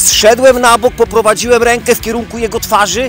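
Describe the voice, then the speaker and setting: A man talks at a moderate pace in an extremely high pitch. The sound is dry with no echo, and faint music plays in the background. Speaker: self-defense instructor. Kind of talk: tutorial. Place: garden.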